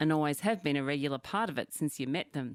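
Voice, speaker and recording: On a very clean recording with a silent background, a woman speaks at a fairly quick pace with ordinary pitch variation in a dry, close sound with no echo. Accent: Australian. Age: 50s. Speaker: podcast co-host. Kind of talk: casual chat.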